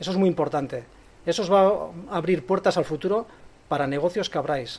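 A man's high-pitched voice at a fairly quick pace. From Spain, Bilbao. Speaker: coffee company representative. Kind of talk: speech to an audience. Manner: unscripted, hesitant.

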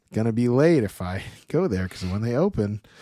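A man with an American accent at a medium pitch, very wide pitch swings and a fairly quick pace, on a very clean recording with a silent background. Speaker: podcast co-host. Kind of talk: casual chat.

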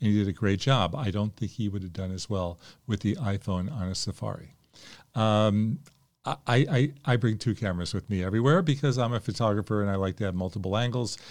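On a very clean recording with a silent background, an unremarkable speaking voice shows ordinary pitch variation and moves along at a fairly quick pace. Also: man, fairly low pitch for a man. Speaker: podcast host. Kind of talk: podcast intro and commentary.

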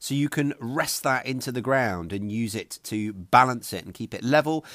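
Delivered at a moderate pace in a southern English accent, the speech has ordinary pitch variation on a very clean recording with a silent background. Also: man. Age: 40s. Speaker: podcast host, homesteader. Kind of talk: tutorial.

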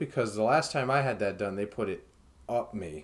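A man with an American accent and a plain, everyday voice speaks at a moderate pace and fairly low pitch with ordinary pitch variation on a very clean recording with a silent background. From United States. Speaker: podcast host. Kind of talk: casual chat.

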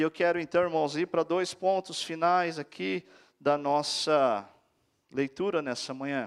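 A normal speaking voice from a man, fairly high in pitch with ordinary pitch variation, at a fairly slow pace in a dry, close sound with no echo. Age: 40s. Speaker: guest preacher. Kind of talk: sermon. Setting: church.

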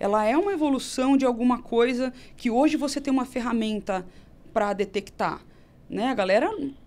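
The woman speaks high in pitch, with ordinary pitch variation, at a moderate pace. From Brazil, Campinas (São Paulo state). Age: 30s. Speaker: nutritionist and traditional Chinese medicine teacher. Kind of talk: casual interview chat.

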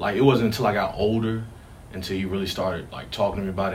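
A man with an American accent speaks fairly quickly in a somewhat breathy voice, with fairly even intonation and audible room echo. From Richmond, Virginia. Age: 20s. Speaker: firefighter. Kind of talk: interview.

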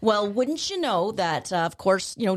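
The recording is very clean, with a silent background. A woman speaks in an ordinary speaking voice at a medium pitch, with lively intonation. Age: 50s. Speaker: dog training instructor. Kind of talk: casual chat. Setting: studio.

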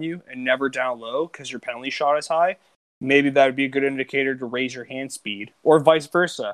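A man's fairly high voice with fairly even intonation, an ordinary speaking voice. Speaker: podcast co-host. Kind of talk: casual banter, joking around. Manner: profane, joking.

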